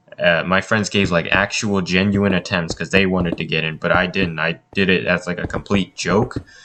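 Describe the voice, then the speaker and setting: Through noticeable background noise, a man with a very deep, low pitch speaks at a moderate pace. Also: fairly even intonation, hardly any pauses. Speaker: gaming YouTuber. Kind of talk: voice-over commentary storytelling. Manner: stuttering; casual, filler-heavy.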